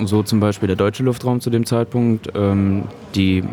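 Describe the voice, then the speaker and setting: Music plays in the background as a man talks. His pitch is fairly low and his intonation monotone and flat. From Saxony-Anhalt, Germany (Köthen). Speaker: student. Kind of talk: interview. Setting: brewery pub. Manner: halting, many fillers.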